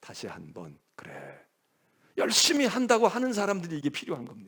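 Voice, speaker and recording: The man speaks in an animated tone. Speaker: senior pastor. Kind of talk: sermon.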